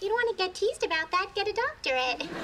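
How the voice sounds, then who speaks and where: A woman does a squeaky, put-on character voice at an extremely high pitch, with very wide pitch swings. She talks very fast at very even loudness over clear background noise. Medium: short film.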